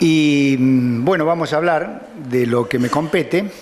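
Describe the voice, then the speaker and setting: Room echo can be heard. Pitch moves in an ordinary way. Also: man. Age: 60s. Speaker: judge. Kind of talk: lecture. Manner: halting.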